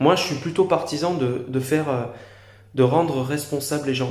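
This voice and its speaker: The speaker talks at a moderate pace with ordinary pitch variation. Room echo is audible. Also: man. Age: 20s. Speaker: YouTuber. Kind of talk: opinion monologue to camera. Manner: halting, many fillers.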